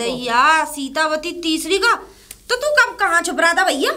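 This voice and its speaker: A woman's put-on character voice, extremely high-pitched with very wide pitch swings, at a moderate pace. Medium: comedy sketch. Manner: gossipy, exclamatory.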